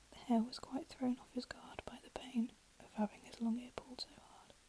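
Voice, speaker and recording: Against noticeable background noise, a soft-spoken woman whispers at a moderate pace. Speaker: ASMR storyteller. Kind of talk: read fairy tale story. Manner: soft-spoken, whispered.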